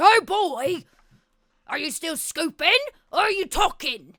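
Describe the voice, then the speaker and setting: A put-on character voice, gruff and extremely high in pitch. It moves at a fairly slow pace. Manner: gruff, demanding.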